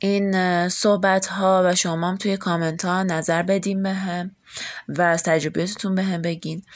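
A woman's voice at medium pitch, with monotone, flat intonation. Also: moderate pace. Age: 20s. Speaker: podcast host. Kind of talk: casual self-introduction monologue.

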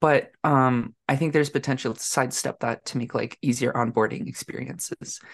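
In a Canadian accent, the speaker moves at a fairly quick pace with hardly any pauses against a quiet background. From Canada. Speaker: software developer. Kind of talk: casual interview. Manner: hesitant with fillers.

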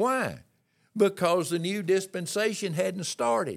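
A man with a Southern US accent and a high voice speaks fairly slowly on a very clean recording with a silent background. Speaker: Pentecostal minister and author. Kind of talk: sermon-style teaching. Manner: halting, stammering.

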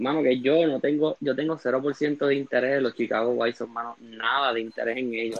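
At a moderate pace with hardly any pauses, a man with an ordinary speaking voice keeps a medium pitch and fairly even intonation. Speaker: graphic artist. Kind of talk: casual chat.

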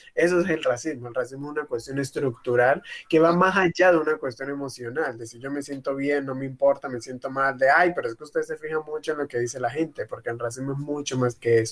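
Very fast, with hardly any pauses, the speech keeps a fairly even intonation while showing big swings in loudness. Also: man, fairly high pitch for a man. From Colombian Pacific coast, Tumaco. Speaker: activist. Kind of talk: panel discussion. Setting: video call.

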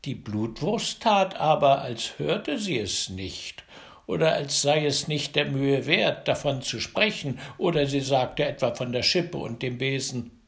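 A man with a normal speaking voice talks at a fairly slow pace, fairly high in pitch, with lively intonation. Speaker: fairy tale narrator. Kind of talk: bedtime story telling, fairy tale read aloud. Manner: warm, gentle, slow and coaxing, with lively storyteller inflection; directly addresses children, playful.

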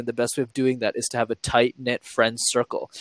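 In a dry, close recording with no echo, a man with a Montreal accent talks at a fairly quick pace. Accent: Canadian English, Montreal. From Montreal, Canada. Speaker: YouTube creator and public speaking coach. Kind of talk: interview conversation.

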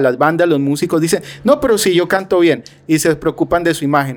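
In a normal speaking voice, a man talks at a fairly quick pace, his pitch fairly high and varying in an ordinary way. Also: very clean recording, silent background. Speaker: podcast host. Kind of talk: interview.

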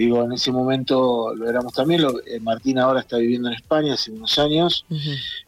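Very fast speech with fairly even intonation and hardly any pauses runs straight through. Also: man, medium pitch for a man. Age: 50s. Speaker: theatre director and actor. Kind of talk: interview.

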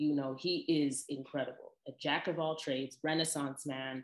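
A woman speaks at a very deep, low pitch against a quiet background. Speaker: podcast host. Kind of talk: casual solo monologue. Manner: chatty, personal, animated.

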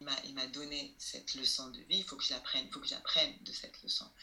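A woman talks fairly quickly, with noticeable noise in the background. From Algeria. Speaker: TV presenter and actress. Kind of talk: interview conversation. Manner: halting.

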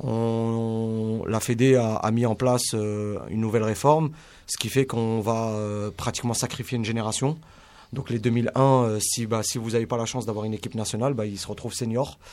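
This man has a plain, everyday voice of medium pitch. He speaks at a moderate pace with fairly even intonation. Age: 30s. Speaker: youth football coach and scout. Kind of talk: radio sports debate.

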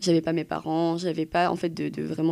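In a very clean recording with a silent background, a woman talks at a moderate pace. She has a fairly low pitch and a dark, mellow tone. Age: 20s. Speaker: young woman sharing personal story. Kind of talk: personal testimony.

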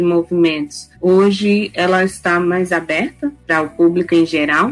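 With music in the background, a woman with a fairly low pitch speaks at a fairly slow pace. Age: 30s. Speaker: university professor. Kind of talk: interview. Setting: at home, remote recording.

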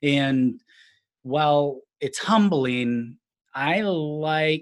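With an American accent, a man speaks at a fairly high pitch using lively intonation. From Minnesota. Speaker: real estate agent, former stunt performer. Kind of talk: interview conversation.

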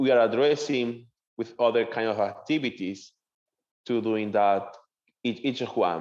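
With a Venezuelan accent, a man speaks at medium pitch and a moderate pace with ordinary pitch variation over a quiet background. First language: Spanish. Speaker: seminarian. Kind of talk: interview.

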